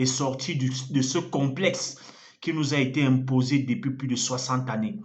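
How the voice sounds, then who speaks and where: This man talks at a moderate pace with a medium pitch and ordinary pitch variation. Audible room echo surrounds his voice. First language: an African language (speaking French). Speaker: evangelist. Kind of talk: sermon.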